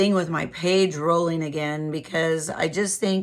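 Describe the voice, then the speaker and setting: A woman speaks at a fairly low pitch with vocal fry. Her pitch variation is ordinary and her pace moderate. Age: 60s. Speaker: beauty vlogger. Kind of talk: casual product review monologue. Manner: casual, with hesitations.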